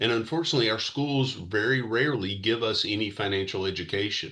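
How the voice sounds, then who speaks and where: This voice has a bright, sharp tone and a Mississippi accent. The pace is fairly quick. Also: man, quiet background. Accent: Southern US (Mississippi). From US South, Mississippi. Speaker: financial educator, retired military veteran. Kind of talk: presentation. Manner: fast; casual, joking.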